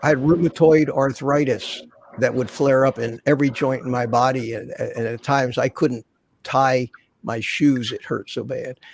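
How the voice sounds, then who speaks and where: In a dry, close sound with no echo, a man speaks at a medium pitch and moderate pace. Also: fairly even intonation. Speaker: veteran on carnivore diet. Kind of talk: casual chat. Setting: live stream. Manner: halting.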